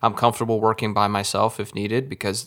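A man with an American accent talks at a fairly quick pace with a fairly low pitch and monotone, flat intonation. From Texas. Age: 30s. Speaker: podcast host, videographer. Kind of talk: casual interview.

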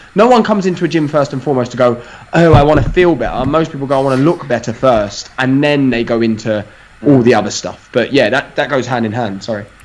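A man with an East London accent talks at a very fast pace. His pitch is medium, with ordinary variation. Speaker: fitness podcast guest. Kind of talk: casual banter.

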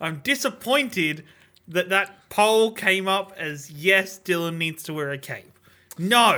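Speaking very slowly in an Australian accent, a man uses a raised, projected voice that is high in pitch and bright and sharp in tone, with lively intonation. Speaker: podcast co-host. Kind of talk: casual chat.

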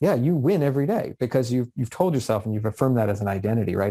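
With a Canadian accent, a man speaks at a very fast pace in a dark, mellow tone and medium pitch, his intonation lively and the sound dry and close with no echo on a very clean recording with a silent background. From Canada, Vancouver area. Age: 40s. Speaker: business manager and author. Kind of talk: interview conversation.

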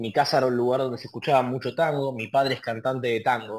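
A man talks at a fairly quick pace in a medium pitch. His pitch variation is ordinary. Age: 20s. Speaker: tango artist. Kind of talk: interview conversation. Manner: halting.

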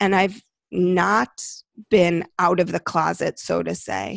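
A woman's voice carries vocal fry. The background is quiet. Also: dry, close sound with no echo. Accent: American. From Chicago, US Midwest. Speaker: clinical psychologist and medium. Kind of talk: casual interview chat.

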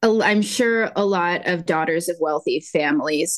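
A woman uses a normal speaking voice, fairly low in pitch with ordinary pitch variation. She talks at a fairly slow pace over a quiet background. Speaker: podcast co-host, yarn dyer. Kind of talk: casual chat.

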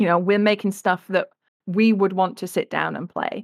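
A woman with an English accent and a monotone, flat intonation. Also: dry, close sound with no echo, very clean recording, silent background. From England. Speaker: game illustrator and art director. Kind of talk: interview.

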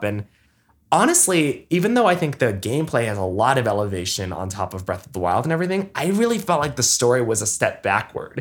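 Using vocal fry, a man talks at a fairly quick pace with very wide pitch swings. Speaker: video game podcast co-host. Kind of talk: casual chat.

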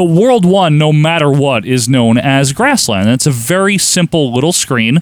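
A man with an ordinary speaking voice talks at a moderate pace and fairly high pitch, with lively intonation, very even loudness and hardly any pauses. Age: 30s. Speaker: podcast host. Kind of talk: casual chat.

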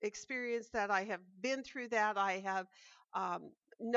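Someone reads aloud in a natural voice. Behind it, the background stays quiet.

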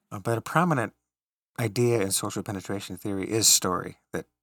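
With a General American accent, a man speaks in an unremarkable speaking voice and fairly even intonation, with a dry, close sound, no echo, and a very clean recording with a silent background. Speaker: college professor. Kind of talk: casual conversation.

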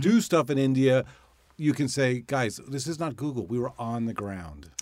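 In a normal speaking voice at medium pitch, a man speaks at a moderate pace, his pitch varying in an ordinary way. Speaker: podcast host and ad agency executive. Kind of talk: interview.

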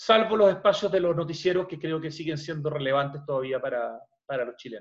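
This man, in a normal speaking voice, goes at a fairly quick pace, his fairly high pitch showing ordinary variation. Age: 50s. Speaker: journalist and radio host. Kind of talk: podcast interview.

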